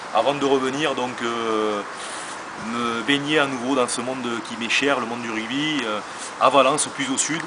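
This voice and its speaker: A man with a southern French accent speaks at a fairly slow pace with fairly even intonation and long, frequent pauses. Noticeable background noise and audible room echo fill the recording. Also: medium pitch for a man. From southern France, Béziers (Hérault). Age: 40s. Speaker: rugby club director, former rugby player. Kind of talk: interview. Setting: outdoors at a stadium. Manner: hesitant, many fillers.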